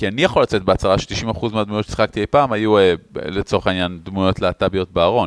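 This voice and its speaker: A man talks at a fairly quick pace with a fairly low pitch. The sound is dry and close with no echo. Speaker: podcast co-host. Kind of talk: casual chat.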